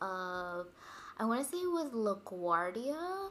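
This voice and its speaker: A woman speaks with a fairly high pitch. Her voice swings very widely in pitch. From Dominican heritage. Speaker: podcast co-host. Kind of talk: casual chat.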